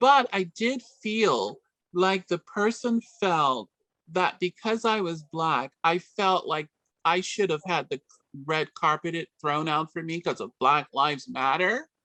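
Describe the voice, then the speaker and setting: With a New York accent, a woman speaks at a fairly slow pace in a fairly low pitch, her tone bright and sharp and her intonation lively, the sound dry and close with no echo against a quiet background. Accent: New York American. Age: 60s. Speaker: community organization director. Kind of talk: radio interview.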